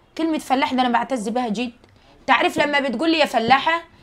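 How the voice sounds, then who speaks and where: Animated and very fast, a woman talks in a high pitch with ordinary pitch variation. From rural Egypt. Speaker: social media creator. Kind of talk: casual monologue to viewers.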